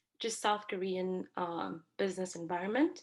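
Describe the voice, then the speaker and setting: At a fairly slow pace, a woman with a non-native accent speaks at a medium pitch. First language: not English. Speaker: university student. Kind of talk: class presentation. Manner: hesitant, many fillers.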